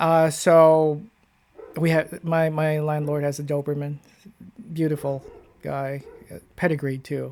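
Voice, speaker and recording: Fairly slow delivery broken by long, frequent pauses. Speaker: paranormal investigator reacting to videos. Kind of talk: casual video commentary. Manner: loud.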